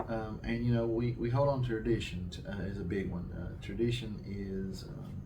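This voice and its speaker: Over noticeable background noise and audible room echo, a man with an American accent speaks at a fairly slow pace in a fairly low pitch with fairly even intonation. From southwest Virginia, Appalachia. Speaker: town economic development official. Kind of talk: interview.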